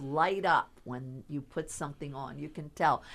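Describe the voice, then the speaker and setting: A woman with a Philadelphia accent at a fairly slow pace, in a very clean recording with a silent background. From Philadelphia, US. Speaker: stylist and fashion designer. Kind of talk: radio interview.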